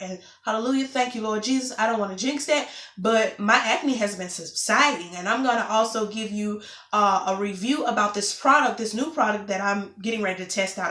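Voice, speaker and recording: With audible room echo and noticeable background noise, a woman talks at a moderate pace in a fairly high pitch that varies in an ordinary way. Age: 20s. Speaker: vlogger. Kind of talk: casual vlog update.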